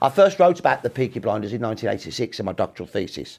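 A man speaks with a Brummie accent in a very clean recording with a silent background. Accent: Brummie (Birmingham) English. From Birmingham, England. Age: 60s. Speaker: historian. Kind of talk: interview.

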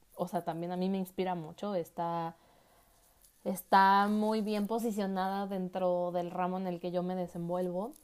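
A woman speaks at a medium pitch and a fairly slow pace. The recording is very clean, with a silent background. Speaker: podcast host and architect. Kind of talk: casual monologue.

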